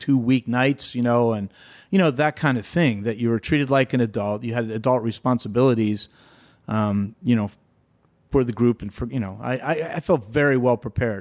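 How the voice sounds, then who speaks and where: A man's ordinary speaking voice with an American accent, medium pitch and a fairly quick pace, on a very clean recording with a silent background. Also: dry, close sound with no echo. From western Pennsylvania, near Pittsburgh. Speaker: entrepreneur. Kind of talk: interview.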